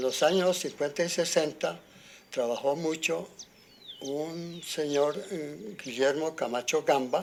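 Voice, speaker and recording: Very slow delivery with ordinary pitch variation. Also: man, fairly high pitch for a man. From Colombia, rural Boyacá (Arcabuco). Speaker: farmer. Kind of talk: interview. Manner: halting.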